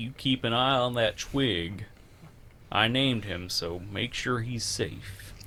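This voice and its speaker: Over clear background noise, a man in a put-on character voice speaks fairly slowly at medium pitch. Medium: actual play. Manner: warm, affectionate.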